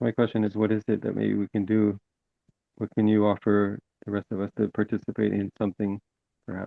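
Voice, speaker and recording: Delivery is fairly quick yet full of long, frequent pauses, the intonation monotone and flat. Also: man, fairly low pitch for a man. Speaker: webinar participant. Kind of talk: Q&A discussion.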